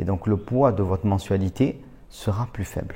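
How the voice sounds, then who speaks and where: The recording is very clean with a silent background, carrying a man's somewhat breathy voice with a dark, mellow tone and fairly low pitch. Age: 30s. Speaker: real estate investor and trainer. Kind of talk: educational monologue. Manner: casual, with fillers.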